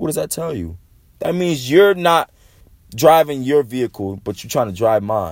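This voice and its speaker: At a moderate pace, a man with a medium pitch speaks with very wide pitch swings. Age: 20s. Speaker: motivational podcaster. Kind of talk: motivational monologue. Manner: casual, rambling with repetitions.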